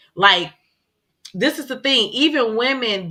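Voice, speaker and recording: A loud woman's voice with a bright, sharp tone. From Chicago. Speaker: podcast co-host. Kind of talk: casual chat.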